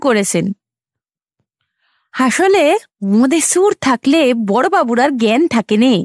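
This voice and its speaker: A woman speaks in a put-on character voice, shaky and with very wide pitch swings. The pace is fairly slow, and the sound is dry and close with no echo. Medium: audio drama. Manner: tearful, trembling.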